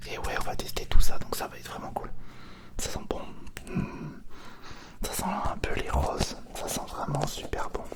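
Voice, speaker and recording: Whispering at a fairly slow pace, a man leaves long, frequent pauses, his loudness swinging widely over noticeable background noise. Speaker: ASMR content creator. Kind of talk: casual ASMR unboxing, whispered talk to camera. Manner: soft-spoken, whispering.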